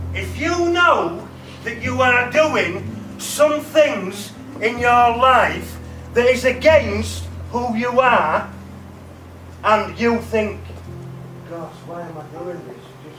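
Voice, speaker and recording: With music in the background and audible room echo, a man speaks at a very slow pace with long, frequent pauses. His loudness swings a lot. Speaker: motivational speaker. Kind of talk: motivational talk to students. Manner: animated.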